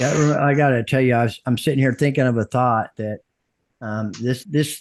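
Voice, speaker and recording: There is a quiet background as a man talks at a medium pitch, the sound dry and close with no echo. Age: 60s. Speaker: podcast host. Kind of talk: casual interview. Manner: halting.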